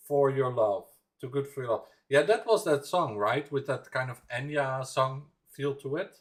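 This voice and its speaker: A man's somewhat breathy voice, fairly high in pitch, with lively intonation at a moderate pace. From Netherlands, Randstad region. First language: Dutch. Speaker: music reaction livestreamer. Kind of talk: casual livestream chat. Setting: livestream. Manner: halting, many fillers and repeats.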